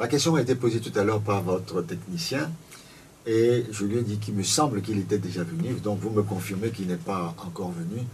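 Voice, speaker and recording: At a moderate pace and a fairly low pitch, a man talks amid audible room echo. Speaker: political party spokesman. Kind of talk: radio debate interview. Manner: quiet, voice does not carry; hesitant, repeats words. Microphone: too quiet on air.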